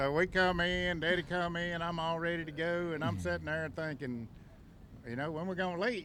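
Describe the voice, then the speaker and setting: In a Southern US accent, a man with a high pitch speaks in a bright, sharp tone, with audible room echo. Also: ordinary pitch variation, moderate pace. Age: 50s. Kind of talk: casual chat.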